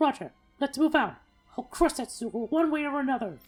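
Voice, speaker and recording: Faint music plays behind a put-on character voice. It is high-pitched and moves at a fairly quick pace. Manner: determined, gruff.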